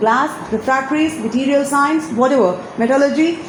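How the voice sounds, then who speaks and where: A woman speaks at a high pitch with ordinary pitch variation. There is audible room echo and noticeable background noise. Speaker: alumna sharing career advice. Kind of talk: interview advice talk.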